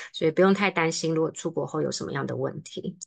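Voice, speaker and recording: Against a quiet background, a woman with a Taiwanese accent speaks fairly quickly at a fairly low pitch with vocal fry. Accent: Taiwanese Mandarin. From Taiwan, Taipei. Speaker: study-abroad consultant; presenter. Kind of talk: online seminar presentation. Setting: video call. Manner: fast. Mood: relaxed, friendly. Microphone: webcam.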